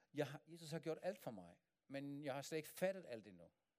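Lively intonation from a man at a fairly high pitch and moderate pace. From Germany. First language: German (speaking Danish). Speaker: pastor. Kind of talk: sermon. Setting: church.

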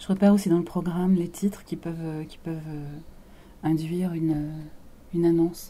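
The voice has a dark, mellow, calm tone with monotone, flat intonation at a moderate pace. Its loudness swings widely, broken by long, frequent pauses. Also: woman, fairly low pitch for a woman. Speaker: radio presenter. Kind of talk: interview. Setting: studio.

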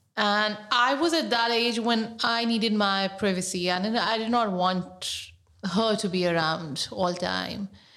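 In a room with audible echo, a woman talks fairly slowly in a medium pitch, with ordinary pitch variation and a bright, sharp tone. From Pakistan. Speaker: writer and activist. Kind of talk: personal storytelling interview.

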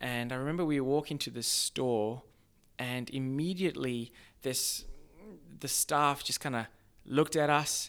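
In an Australian accent, the speaker goes at a fairly slow pace with fairly even intonation and long, frequent pauses. The recording is very clean, with a silent background. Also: man, fairly high pitch for a man. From Zimbabwe. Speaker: social entrepreneur. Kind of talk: casual interview.

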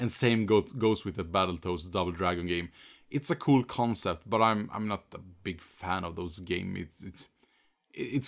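On a very clean recording with a silent background, a man with a Swedish accent speaks at a moderate pace, fairly low in pitch, with ordinary pitch variation. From Sweden. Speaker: game streamer. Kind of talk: casual chat.

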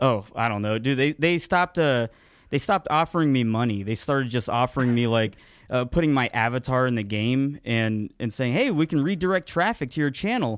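On a very clean recording with a silent background, an ordinary speaking voice moves at a fairly quick pace with lively intonation. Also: man, medium pitch for a man, very even loudness. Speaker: podcast co-host and YouTuber. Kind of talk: casual banter podcast. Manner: casual, rambling, profane.

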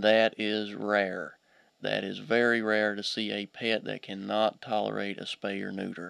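In a dry, close recording with no echo, a man with an Appalachian accent talks at a fairly slow pace. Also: very clean recording, silent background. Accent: Appalachian Kentucky. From Eastern Kentucky (Pike County). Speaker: veterinarian. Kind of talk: radio interview. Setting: studio.

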